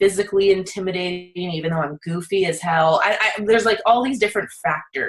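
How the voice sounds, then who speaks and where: A woman's normal speaking voice at medium pitch, with ordinary pitch variation. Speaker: therapist podcast host. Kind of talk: casual chat.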